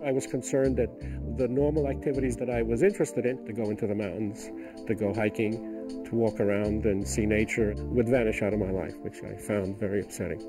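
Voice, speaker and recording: With music in the background, a man with a fairly low pitch talks at a fairly quick pace with lively intonation and hardly any pauses. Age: 70s. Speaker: retired doctor and wildlife photographer. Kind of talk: patient testimonial interview answer.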